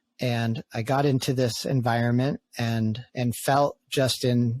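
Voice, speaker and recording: Recorded very cleanly with a silent background and a dry, close sound with no echo, a man with an American accent uses an ordinary speaking voice at medium pitch with fairly even intonation. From New England, US (outside Boston). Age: 30s. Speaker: podcast host and men's community facilitator. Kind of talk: casual podcast conversation.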